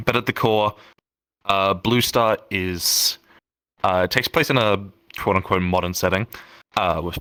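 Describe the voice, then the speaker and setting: A man's fairly low, bright, sharp voice at a moderate pace, with ordinary pitch variation, long, frequent pauses, and a dry, close sound with no echo in a very clean recording with a silent background. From Australia. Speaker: roleplay community leader. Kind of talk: podcast interview. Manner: casual, halting with fillers.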